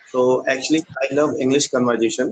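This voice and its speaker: A man with an Indian accent speaks at a medium pitch. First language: Hindi. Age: 20s. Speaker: English learner. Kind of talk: casual chat. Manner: halting.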